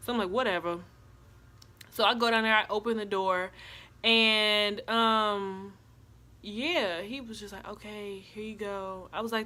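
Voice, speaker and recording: A woman speaks with fairly even intonation, her fairly high pitch carrying a bright, sharp tone. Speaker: YouTuber. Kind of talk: storytime vlog. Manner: monotone.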